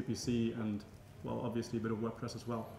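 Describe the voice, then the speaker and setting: A man speaks at a medium pitch. The recording has audible room echo and noticeable background noise. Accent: German. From Germany. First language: German. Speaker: marketing agency owner. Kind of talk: interview. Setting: conference.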